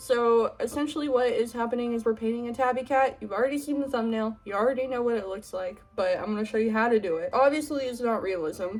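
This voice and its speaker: A woman talks at a very fast pace with hardly any pauses, her pitch high and its variation ordinary. Music plays in the background. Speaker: art tutorial youtuber. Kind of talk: tutorial.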